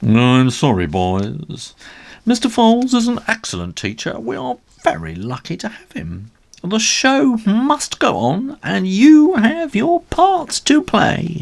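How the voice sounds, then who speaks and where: A man puts on a character voice, pitched high for a man, and talks at a fairly slow pace. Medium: read story.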